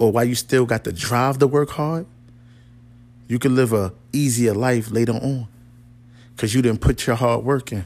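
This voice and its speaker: The man talks at a moderate pace and a medium pitch, with long, frequent pauses. The recording is very clean, with a silent background. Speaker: podcast host. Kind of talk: motivational pep talk, urgent rallying speech with punchy repeated commands. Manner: animated; emphatic, direct, repeating phrases and checking in with the listener.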